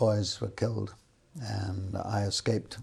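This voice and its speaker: A man speaking very slowly, somewhat breathy and fairly low-pitched, with ordinary pitch variation. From London, England. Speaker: retired film industry worker. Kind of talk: oral history interview. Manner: halting, many fillers.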